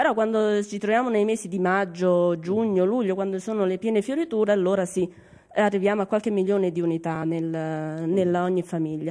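Speaking at a fairly quick pace over a quiet background, a woman has a dark, mellow tone, medium pitch and ordinary pitch variation. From Cilento, Salerno province; Salerno province, Italy. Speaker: beekeeper. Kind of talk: interview. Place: home room. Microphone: handheld.

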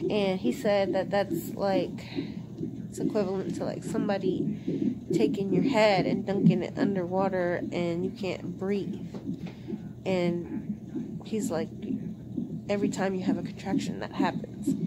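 Over loud background noise, a woman speaks at a fairly slow pace. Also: ordinary pitch variation. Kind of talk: casual vlog chat. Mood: worried, quiet. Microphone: phone near.

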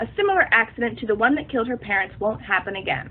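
Her pitch high for a woman, she talks at a very fast pace. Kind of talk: commentary on a film theory.

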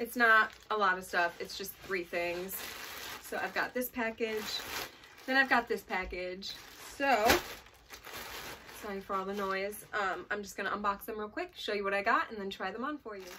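A woman talks at a moderate pace with ordinary pitch variation and long, frequent pauses. There is noticeable background noise. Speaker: fashion vlogger. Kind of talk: casual vlog chat. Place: home room. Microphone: phone near.

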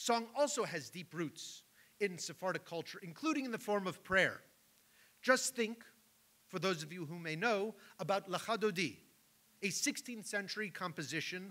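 A man projects a raised voice with a bright, sharp tone. His pace is moderate, broken by long, frequent pauses. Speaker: event host or moderator. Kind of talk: lecture. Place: hall. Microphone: podium.

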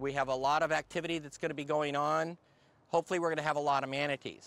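Very fast speech with fairly even intonation and a dry sound with no echo. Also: man. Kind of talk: briefing to a group, then interview answer. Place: waterside.

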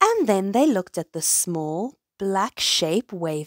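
Quiet surroundings frame the recording. Someone simply reads a text out loud.

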